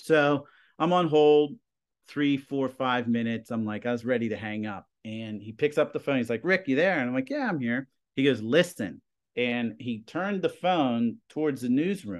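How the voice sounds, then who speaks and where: In an American accent, a man with an unremarkable speaking voice talks at a medium pitch and moderate pace with lively intonation against a quiet background. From Plum, Pennsylvania (Pittsburgh area). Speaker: high school TV production teacher. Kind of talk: casual interview.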